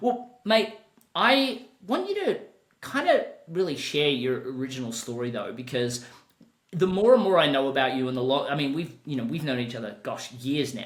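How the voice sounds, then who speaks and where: Speaking at a moderate pace with a fairly high pitch, a man makes very wide pitch swings amid audible room echo. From Australia. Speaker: podcast host and business coach. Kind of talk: podcast interview.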